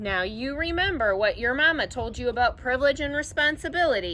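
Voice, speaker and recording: Putting on a character voice, a woman speaks at a high pitch and a fairly quick pace amid clear background noise. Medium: read story. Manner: relaxed, offhand.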